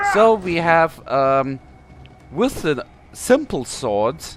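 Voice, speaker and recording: A man talks at a very slow pace with a German accent and very wide pitch swings. Music plays in the background. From Germany. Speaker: gaming YouTuber. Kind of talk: game tutorial. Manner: halting, many fillers.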